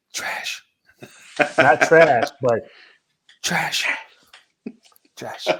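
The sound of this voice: A raspy, whispering put-on character voice.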